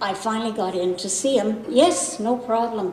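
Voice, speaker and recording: A woman speaks at a fairly slow pace in a fairly high pitch with ordinary pitch variation. Audible room echo and noticeable background noise surround her voice. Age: 70s. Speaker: patient. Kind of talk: testimony.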